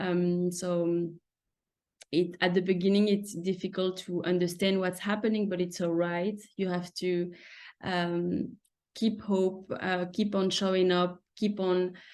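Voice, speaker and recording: This woman talks at a fairly slow pace in a medium pitch, her intonation monotone and flat. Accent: French. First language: French. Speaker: surgical resident. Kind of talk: webinar presentation. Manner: halting.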